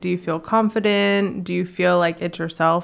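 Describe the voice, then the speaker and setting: With an American accent, a woman talks at a moderate pace in a fairly low pitch, a plain, everyday voice on a very clean recording with a silent background. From Virginia. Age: 20s. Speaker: interior designer. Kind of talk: casual chat.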